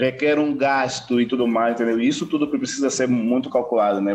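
This man has a medium-pitched voice and fairly even intonation. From Angola, Bié. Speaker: filmmaker. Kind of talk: casual interview. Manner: halting, many fillers.

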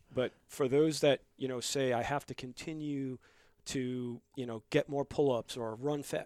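A man's medium-pitched voice at a moderate pace, with fairly even intonation, in a very clean recording over a silent background. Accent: New York. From New York (Bronx, Long Island). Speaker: gym member, military veteran. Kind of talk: casual chat.

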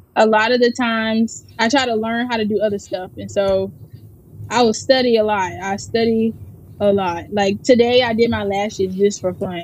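A woman with a normal speaking voice and an American accent, fairly high in pitch, with fairly even intonation at a moderate pace. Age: 20s. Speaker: personal chef. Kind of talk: interview.

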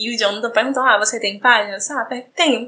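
A woman with a fairly high pitch and ordinary pitch variation has an ordinary speaking voice. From Brazil, João Pessoa, Paraíba. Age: 30s. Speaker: gaming content creator. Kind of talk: personal story recorded testimony.

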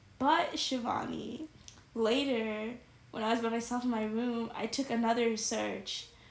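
A woman speaks in a fairly high pitch with an animated tone over noticeable background noise. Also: fairly slow pace. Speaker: podcast co-host, college student. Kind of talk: casual chat.

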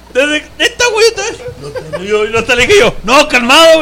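A man's raised, projected voice in a Mexican accent, animated, with very wide pitch swings at a moderate pace, crowd noise behind him. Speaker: podcast host. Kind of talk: casual chat.

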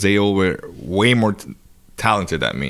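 The speaker is a man. His words come with a Spanish accent. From Dominican Republic. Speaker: touring guitarist. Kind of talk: casual chat. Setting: at his home.

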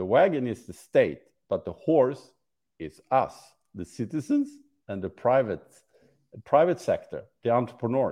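A man talks with vocal fry. His pace is fairly slow. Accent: Swedish. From Sweden. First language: Swedish. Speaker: startup ecosystem supporter. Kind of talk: interview.

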